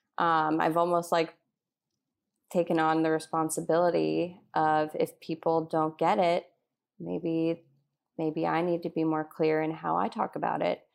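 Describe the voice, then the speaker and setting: In a very clean recording with a silent background, a woman speaks at a very deep, low pitch. Her intonation is monotone and flat, and her pace fairly slow. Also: very even loudness. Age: 30s. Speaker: migraine patient and writer. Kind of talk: interview.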